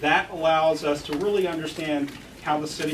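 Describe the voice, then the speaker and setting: With an American accent and fairly even intonation, a man talks over noticeable background noise. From US, West Texas. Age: 50s. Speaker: political candidate. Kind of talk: campaign speech. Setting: forum with live audience.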